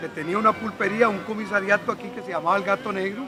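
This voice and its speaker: A man raises and projects his high voice over noticeable background noise. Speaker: neighborhood historian, doctor. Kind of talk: oral history interview.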